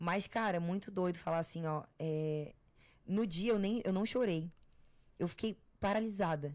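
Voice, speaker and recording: In a very clean recording with a silent background, a woman speaks at a fairly slow pace with ordinary pitch variation. She leaves long, frequent pauses. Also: medium pitch for a woman. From Florianópolis, southern Brazil. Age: 20s. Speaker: TV personality and content creator. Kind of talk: casual interview chat.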